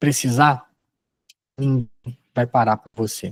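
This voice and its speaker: Medium-pitched male speech, fairly slow, dry and close with no echo. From Rio de Janeiro state interior, Brazil. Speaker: sales trainer. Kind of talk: training lecture. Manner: conversational, animated; lowers voice to dramatize in role-play.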